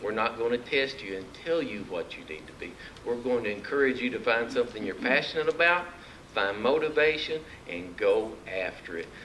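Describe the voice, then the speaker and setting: Noticeable background noise sits behind a man with an Arkansas accent who speaks at a fairly quick pace and a medium pitch, with lively intonation in an animated tone. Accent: Arkansas country. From Arkansas (Mountain View). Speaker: political candidate. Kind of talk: campaign speech. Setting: luncheon meeting with audience. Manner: folksy, animated.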